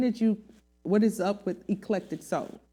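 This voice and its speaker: A woman's medium-pitched voice, dark and mellow in tone, on a very clean recording with a silent background. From US South. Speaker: singer. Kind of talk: interview. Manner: animated.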